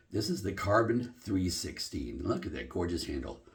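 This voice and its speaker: A man at a moderate pace, with audible room echo. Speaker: shaving video host. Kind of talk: product demo. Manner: casual, conversational.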